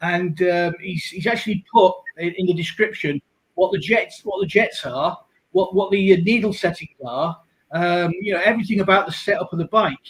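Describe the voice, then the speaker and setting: This man speaks at a high pitch with ordinary pitch variation. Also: moderate pace. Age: 60s. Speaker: motorcycle rider. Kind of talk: casual chat.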